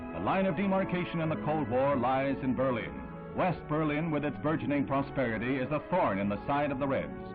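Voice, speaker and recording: Music plays behind a man speaking at a fairly quick pace with a fairly high pitch. His intonation is lively, and his loudness stays very even. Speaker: newsreel narrator. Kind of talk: vintage newsreel narration.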